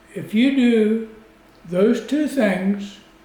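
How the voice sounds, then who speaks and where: A man speaks with ordinary pitch variation. His voice carries audible room echo. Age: 70s. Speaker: retiree teaching technology basics. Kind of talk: tutorial.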